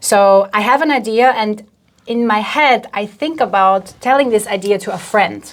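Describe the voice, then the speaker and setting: A woman speaks at a moderate pace in a fairly high voice, with ordinary pitch variation. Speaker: content marketing expert. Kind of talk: interview.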